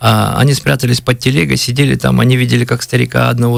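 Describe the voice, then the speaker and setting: His pitch is medium. The man speaks at a fairly quick pace. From Kalmykia, Russia. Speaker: blogger, history storyteller. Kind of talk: radio interview, history storytelling. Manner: halting, many fillers.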